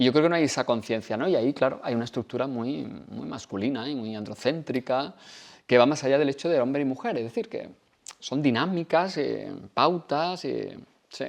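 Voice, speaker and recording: A man's medium-pitched voice with ordinary pitch variation, over a quiet background. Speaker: author and university professor. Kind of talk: book presentation talk. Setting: library event with audience. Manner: fast.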